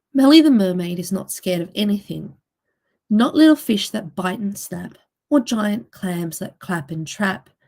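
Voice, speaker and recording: Her loudness swings widely. The woman sounds somewhat breathy, with lively intonation. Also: medium pitch for a woman, moderate pace. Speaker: children's book author. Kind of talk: reading aloud.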